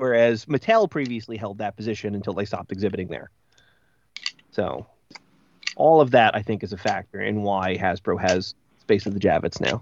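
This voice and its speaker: A man talks at a fairly quick pace, pitched fairly low, with ordinary pitch variation. He leaves long, frequent pauses. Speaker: podcast co-host. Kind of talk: casual chat.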